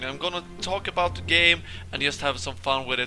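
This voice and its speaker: Over music in the background, a man with a fairly high pitch speaks in very wide pitch swings. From Sweden. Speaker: game commentator. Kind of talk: show intro to camera.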